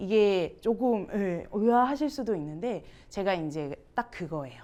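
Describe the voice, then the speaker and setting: A moderate pace and animated tone, with a slight Gyeongsang accent. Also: woman. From Gyeongsang region, Ulsan. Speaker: musical theatre instructor. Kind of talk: teacher training workshop.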